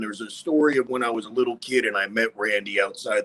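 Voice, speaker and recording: Lively in intonation and fairly quick, a man with an American accent speaks in a medium pitch. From Westchester, New York. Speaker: podcast host. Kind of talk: casual chat. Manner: animated.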